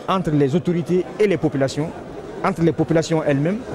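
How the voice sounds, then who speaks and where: A man talks very fast in a fairly high voice with ordinary pitch variation, the sound dry with no echo but with noticeable background noise. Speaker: government official. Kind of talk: interview. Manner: formal. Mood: calm, measured. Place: hall. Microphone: handheld.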